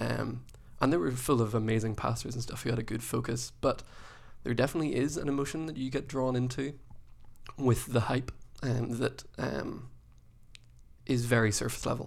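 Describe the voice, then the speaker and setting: The speaker, in an Irish accent, talks at a moderate pace with fairly even intonation and vocal fry, leaving long, frequent pauses. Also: man, medium pitch for a man. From Ireland. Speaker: youth pastor. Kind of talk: casual chat. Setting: studio.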